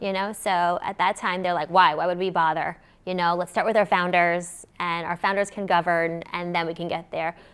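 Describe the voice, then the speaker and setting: A woman with a fairly low pitch talks at a moderate pace with hardly any pauses, in a monotone, flat intonation. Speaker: crypto company founder and CEO. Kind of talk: panel discussion. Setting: stage with audience. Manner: loud.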